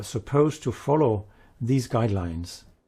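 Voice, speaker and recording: A man with a dark, mellow tone speaks at a medium pitch and a moderate pace, somewhat breathy, with lively intonation, on a very clean recording with a silent background. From Denmark. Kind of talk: interview.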